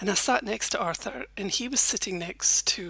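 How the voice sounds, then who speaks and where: Speaking at a fairly quick pace, a woman talks in a Scottish accent. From Scotland. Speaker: former journalist, YouTuber. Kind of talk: personal storytelling monologue.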